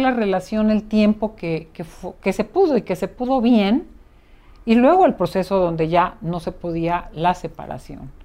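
The woman's delivery is fairly slow. Her tone is dark and mellow. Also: very clean recording, silent background. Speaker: psychotherapist and podcast host. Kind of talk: conversational interview.

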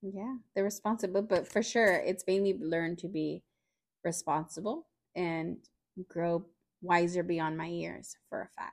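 In an American accent, this unremarkable speaking voice moves at a fairly slow pace with fairly even intonation. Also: woman, fairly low pitch for a woman. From California Central Valley, Fresno. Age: 20s. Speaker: roommate of host. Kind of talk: casual chat.

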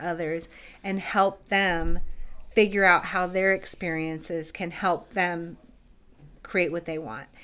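A woman's fairly low-pitched voice with a bright, sharp tone at a very slow pace, in a very clean recording with a silent background. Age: 40s. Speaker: coaching business owner. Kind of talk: interview.

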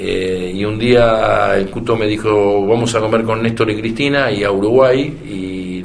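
Over audible room echo, a man speaks very slowly in a fairly low pitch with ordinary pitch variation. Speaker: veteran politician. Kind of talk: interview. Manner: halting.

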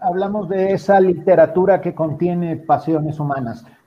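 A man with a high-pitched voice speaks at a moderate pace with lively intonation. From Mexico. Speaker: writer and radio director. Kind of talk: panel discussion.

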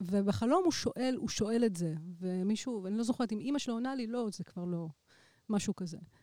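A woman talks fairly quickly with lively intonation. Her fairly high voice has a dark, mellow tone. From Israel. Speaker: electronic musician. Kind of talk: casual chat.

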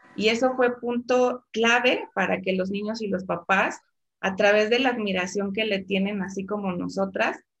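A woman speaks at a medium pitch with fairly even intonation. Her voice is somewhat breathy, and her pace is fairly slow. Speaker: teacher. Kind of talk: interview.

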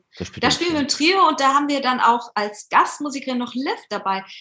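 A raised, projected voice with a bright, sharp tone, lively intonation and a moderate pace. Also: woman. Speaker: musician and chanson singer. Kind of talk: casual interview. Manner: hesitant with many fillers.

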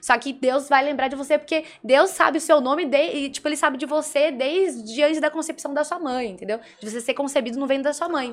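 Animated and fairly quick, a woman speaks in a high pitch. Her pitch varies in an ordinary way. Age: 20s. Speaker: political blogger. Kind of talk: casual chat.

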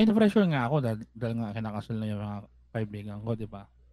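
The pitch swings very widely. A man is speaking at a very fast pace. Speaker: podcast co-host. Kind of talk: casual chat.

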